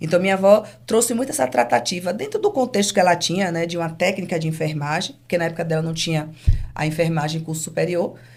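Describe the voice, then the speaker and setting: The delivery moves at a very fast pace with lively intonation. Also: woman, fairly low pitch for a woman. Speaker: business owner. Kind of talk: interview. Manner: calm.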